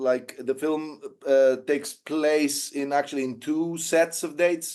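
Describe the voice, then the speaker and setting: A man with a Greek accent, talking at a fairly slow pace with fairly even intonation. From Greece. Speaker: documentary filmmaker and former volunteer soldier. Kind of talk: interview. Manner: halting, many fillers.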